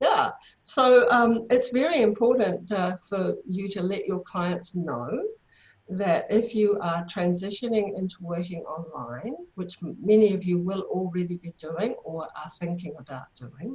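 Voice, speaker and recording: With a New Zealand accent, a woman speaks at a medium pitch with lively intonation. Her voice is somewhat breathy and shows big swings in loudness. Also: fairly slow pace. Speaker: therapy trainer. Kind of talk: online workshop presentation.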